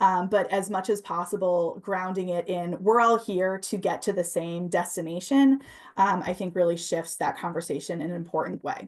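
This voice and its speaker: Barely pausing, a woman with a medium pitch keeps her intonation fairly even against a quiet background. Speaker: housing advocate. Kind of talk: presentation. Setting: video call. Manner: fast.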